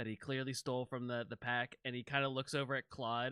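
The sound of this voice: This is an unforced reading voice. It reads through the text.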